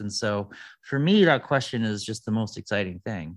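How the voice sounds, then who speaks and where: A man speaks at a moderate pace with an American accent. His pitch sits fairly low, and the background is quiet. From US Midwest, Detroit. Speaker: food futurist. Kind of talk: interview.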